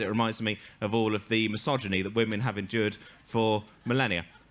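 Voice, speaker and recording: His tone comes across bright and sharp. The man has an English accent. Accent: English accent, self-described. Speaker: comedian. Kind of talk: stand-up storytelling. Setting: stage with audience.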